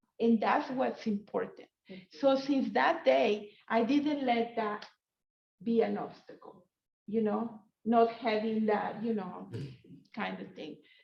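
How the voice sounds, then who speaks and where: A very slow voice with vocal fry, a Spanish accent, long, frequent pauses and big swings in loudness. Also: woman, fairly high pitch for a woman, ordinary pitch variation. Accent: Spanish accent, noticeable. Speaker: professor. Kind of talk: panel discussion. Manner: halting, many fillers.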